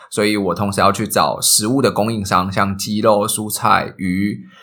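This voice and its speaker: The speaker is a man. His pitch is fairly low. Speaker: food delivery company manager. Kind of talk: interview. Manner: clear articulation.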